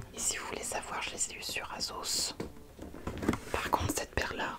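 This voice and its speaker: A man whispers over noticeable background noise. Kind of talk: casual talk to camera, comedic ASMR parody. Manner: chatty, jokey, self-deprecating.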